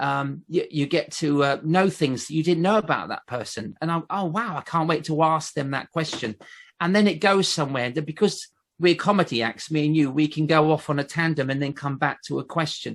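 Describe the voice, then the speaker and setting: A man with a southern English accent at a fairly quick pace, against a quiet background. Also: fairly high pitch for a man, ordinary pitch variation. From southern England, Basingstoke. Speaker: ventriloquist. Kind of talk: casual chat.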